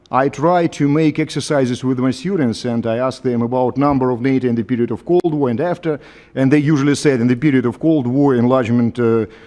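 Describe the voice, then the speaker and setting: A man with a Russian accent talks fairly quickly at a medium pitch. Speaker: professor. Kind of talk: panel discussion. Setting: conference hall with audience. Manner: halting.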